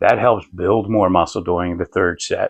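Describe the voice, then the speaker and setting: A man talks at a moderate pace. His sound is dry and close, without any echo. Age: 60s. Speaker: fitness video creator. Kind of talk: tutorial. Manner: casual, filler-heavy.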